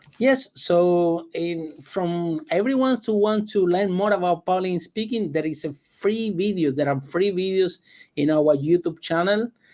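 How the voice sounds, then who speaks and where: A man's high-pitched voice with a dark, mellow tone and a non-native accent, at a fairly slow pace with ordinary pitch variation, over a quiet background. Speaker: public speaking coach. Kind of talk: interview.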